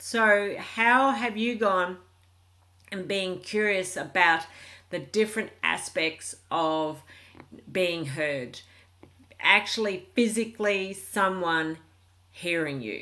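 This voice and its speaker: A woman speaks at a very slow pace with an Australian accent. Her tone is bright and sharp, broken by long, frequent pauses. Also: medium pitch for a woman, ordinary pitch variation. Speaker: relationship coach vlogger. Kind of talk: casual vlog monologue. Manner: calm, peaceful.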